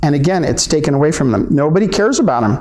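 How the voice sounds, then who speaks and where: Noticeable background noise and audible room echo surround this recording. A man with an American accent talks at a fairly high pitch. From Southern California, San Juan Capistrano. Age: 60s. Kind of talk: public talk. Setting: library event. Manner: halting.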